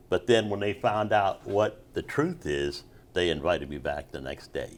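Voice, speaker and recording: This man's fairly low voice carries vocal fry and moves at a moderate pace. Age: 60s. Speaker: Vietnam era Navy veteran and street singer. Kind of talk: interview answer.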